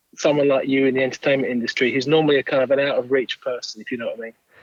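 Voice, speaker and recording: The speaker has an English accent. The sound is dry and close, with no echo. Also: man. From southern England, Kent. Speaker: songwriter and record producer. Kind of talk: interview.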